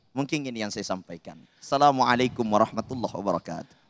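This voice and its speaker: With lively intonation, a man speaks in a dry, close sound with no echo. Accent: Makassar. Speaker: Islamic preacher. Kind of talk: sermon.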